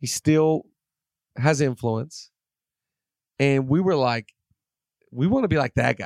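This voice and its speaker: A man's fairly high voice at a fairly slow pace, broken by long, frequent pauses, with ordinary pitch variation and a dry, close sound with no echo. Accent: American. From Seattle, US Pacific Northwest. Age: 30s. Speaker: pastor. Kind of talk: casual chat.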